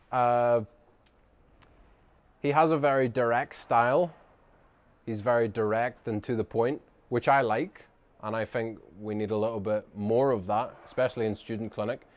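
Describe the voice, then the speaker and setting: A man speaks in a strong Northern Irish accent at a medium pitch. His intonation is fairly even, broken by long, frequent pauses. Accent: Northern Irish, thick. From Northern Ireland. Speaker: chiropractor. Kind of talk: casual talk to camera. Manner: fast; little lip movement.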